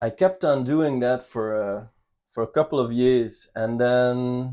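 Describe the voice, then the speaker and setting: A man with a slight Belgian accent, medium in pitch, dark and mellow in tone, ordinary pitch variation, very clean recording with a silent background. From Belgium, Ghent. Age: 30s. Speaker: channel co-host. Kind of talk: personal life story. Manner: halting, with fillers.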